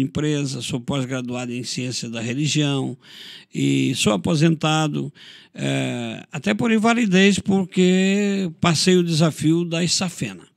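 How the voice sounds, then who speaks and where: A man speaks at a fairly high pitch and a fairly slow pace. His is an unremarkable speaking voice with lively intonation. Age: 60s. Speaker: pastor. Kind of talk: interview testimony.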